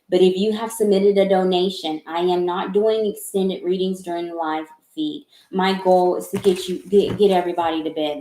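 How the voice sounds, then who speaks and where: With a Southern US accent, a woman speaks at a moderate pace in a dark, mellow tone. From US South. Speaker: tarot reader. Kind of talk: live-stream tarot reading. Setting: live stream from home office. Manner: halting.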